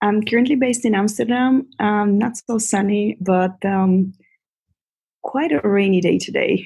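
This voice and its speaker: With a Bulgarian accent, a woman speaks at a fairly slow pace and medium pitch in a dark, mellow, somewhat breathy tone, with ordinary pitch variation and very even loudness. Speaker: yoga teacher. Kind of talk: podcast interview.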